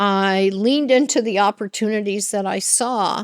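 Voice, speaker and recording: Very slow pace in a dry, close sound with no echo, on a very clean recording with a silent background. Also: woman. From Latin America, Spanish-speaking. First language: Spanish. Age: 70s. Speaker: business executive. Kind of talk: interview. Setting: conference podcast.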